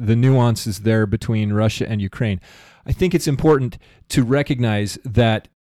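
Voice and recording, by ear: Natural-voiced reading aloud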